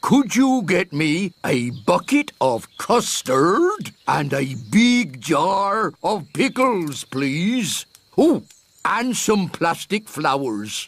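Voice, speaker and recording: Pitched in the middle range, a cartoonish character voice moves at a very slow pace with very wide pitch swings. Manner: polite, fussy, self-satisfied.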